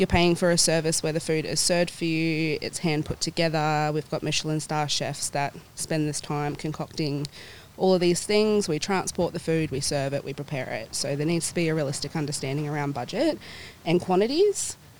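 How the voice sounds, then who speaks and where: A woman speaks at a very deep, low pitch. Her pace is moderate and her intonation fairly even. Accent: Australian. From New Zealand, raised in Perth, Australia from age four. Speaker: catering coordinator and home baker. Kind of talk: casual interview.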